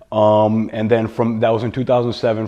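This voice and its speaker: Over noticeable background noise, a man with a New York accent speaks at a fairly quick pace in a medium pitch, his intonation flat and monotone. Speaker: entrepreneur and real estate investor. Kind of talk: podcast interview. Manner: halting, many fillers and repetitions.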